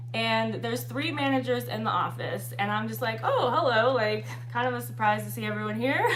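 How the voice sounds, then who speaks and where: A woman's very deep, low voice at a fairly quick pace in a monotone, flat intonation, with audible room echo and noticeable background noise. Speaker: exotic dancer and vlogger. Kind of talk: livestream casual talk. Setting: livestream. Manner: fast; casual, filler-heavy.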